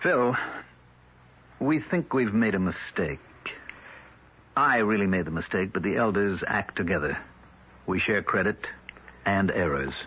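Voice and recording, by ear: In a put-on character voice, a man speaks low and slightly husky, with lively intonation, a fairly slow pace, and long, frequent pauses.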